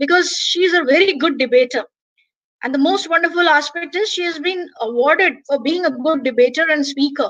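With an Indian accent, a woman talks at a fairly quick pace in a high voice with ordinary pitch variation, against a quiet background. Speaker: English professor and webinar organizer; English professor. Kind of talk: webinar hosting. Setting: video call. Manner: formal. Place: home room. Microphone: webcam.

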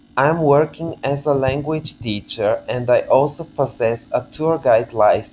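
A man talks with a Bulgarian accent at a fairly slow pace. Light background noise sits behind him. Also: ordinary pitch variation. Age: 20s. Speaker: language teacher. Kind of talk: scripted self-introduction video. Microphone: webcam.

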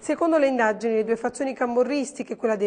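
Her pitch is high. The woman's pitch variation is ordinary. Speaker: news reporter. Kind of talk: news reading. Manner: formal; steady, brisk, even-paced delivery.

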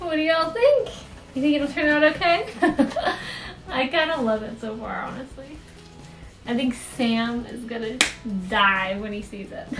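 Clear music plays behind a woman speaking in a high voice at a moderate pace. Her loudness swings widely, and she takes long, frequent pauses. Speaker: craft vlogger. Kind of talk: casual vlog chat. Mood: excited, cheerful. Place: home room. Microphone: camera far.

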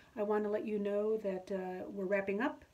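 This woman's voice has a warm tone that is also dark and mellow. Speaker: auctioneer. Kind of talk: casual talk to camera. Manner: warm, friendly. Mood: warm, grateful. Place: home room. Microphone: phone near.

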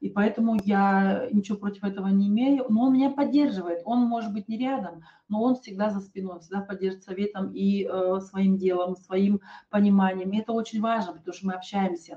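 Over a quiet background, a woman talks at a fairly quick pace with fairly even intonation. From Kazakhstan, Almaty. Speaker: network marketing presenter; presenter. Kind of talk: sales webinar. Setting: online webinar. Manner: hesitant, many filler sounds. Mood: calm, personal, persuasive. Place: home room. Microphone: webcam.

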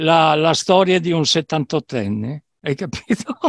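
Very slow speech comes through with a dry sound, no echo and a quiet background. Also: man. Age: 70s. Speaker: dance music producer and DJ; DJ. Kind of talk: casual interview. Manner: halting, repetitive. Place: home room. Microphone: headset.

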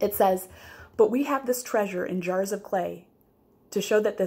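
Someone reads aloud in a natural voice.

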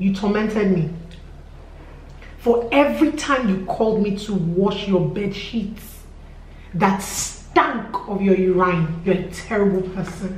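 A woman at a very slow pace with long, frequent pauses and audible room echo. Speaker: vlogger telling a story. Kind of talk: casual vlog chat. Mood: aggrieved, emphatic storytelling. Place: home room.

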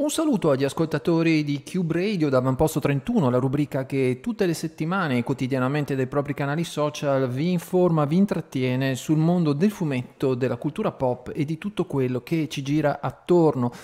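Talking at a fairly quick pace with hardly any pauses, a man shows ordinary pitch variation. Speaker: radio host. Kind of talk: radio show intro and interview question. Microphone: studio mic.

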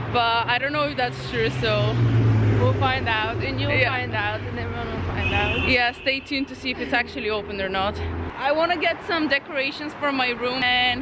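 The speech moves at a moderate pace. Loud background noise is present throughout. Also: woman. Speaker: vlogger. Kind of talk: casual vlog chat. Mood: cheerful, laughing. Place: street. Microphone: phone near.

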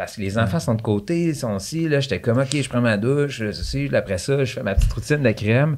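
A man with a Quebec accent, lively intonation and a fairly quick pace. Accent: Québécois French. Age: 30s. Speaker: real estate broker; podcast guest. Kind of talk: casual chat. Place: studio. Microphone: studio mic.

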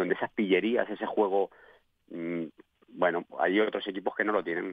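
A man speaks at a fairly quick pace. The sound is dry with no echo, over a quiet background. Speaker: former professional footballer, pundit. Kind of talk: radio sports panel discussion. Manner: halting, repeats words. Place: studio.

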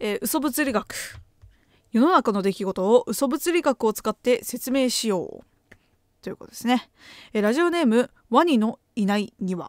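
A woman with a high pitch speaks at a moderate pace, her intonation lively and her loudness swinging widely. The sound is dry with no echo, over a quiet background. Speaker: graduate student and podcaster; podcaster. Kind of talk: casual chat. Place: home room. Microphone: studio mic.

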